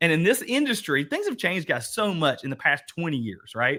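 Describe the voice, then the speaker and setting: With an Eastern Kentucky accent, a man speaks at a fairly quick pace in a high pitch with a bright, sharp tone. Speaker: workshop host, real estate coach. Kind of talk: online workshop discussion. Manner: animated.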